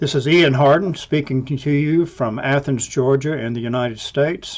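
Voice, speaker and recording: With an Alabama accent, a man speaks at a moderate pace, his fairly high pitch holding fairly even intonation. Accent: US Southern, Alabama. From Alabama, US South. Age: 70s. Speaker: scientist, professor. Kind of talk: recorded toast.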